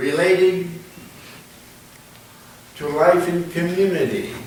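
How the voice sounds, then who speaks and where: A man's high voice with noticeable noise in the background. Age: 80s+. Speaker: minister. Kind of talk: sermon.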